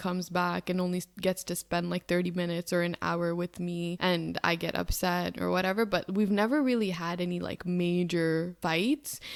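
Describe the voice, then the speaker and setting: An ordinary speaking voice, fairly even in intonation, at a moderate pace. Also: woman. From Canada. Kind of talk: podcast talk. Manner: casual, chatty.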